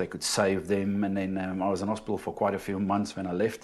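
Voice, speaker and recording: In a South African accent, a man talks at a very fast pace. His pitch is fairly low and his intonation is monotone and flat. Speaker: inspirational speaker and electrical shock survivor. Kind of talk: casual interview, telling a personal story.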